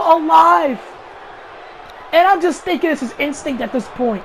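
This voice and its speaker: Noticeable background noise sits behind an animated tone. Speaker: video game commentator. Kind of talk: live commentary. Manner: stuttering.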